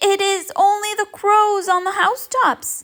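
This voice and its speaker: A squeaky, put-on character voice speaks at a moderate pace. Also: woman, extremely high pitch for a woman. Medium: read story.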